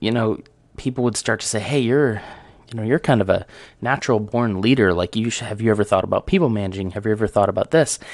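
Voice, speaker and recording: A man at medium pitch and a very fast pace, against a quiet background. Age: 30s. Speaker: podcaster. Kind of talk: casual solo talk show monologue.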